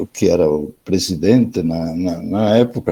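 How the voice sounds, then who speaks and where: A dark, mellow tone at a fairly slow pace. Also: man. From Spain. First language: Spanish (speaking Portuguese). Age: 70s. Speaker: education professor. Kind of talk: online lecture. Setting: online video session. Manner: halting, with many repetitions and fillers.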